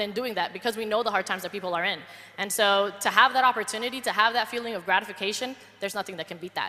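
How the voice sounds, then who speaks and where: A woman with a Spanish accent, fairly high in pitch, talking at a very fast pace in an animated tone. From Colombia. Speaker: network marketer. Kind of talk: panel testimony.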